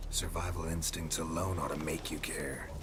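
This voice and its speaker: A man's put-on character voice, very deep and low, at a moderate pace over loud background noise. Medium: game stream. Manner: dry, laconic.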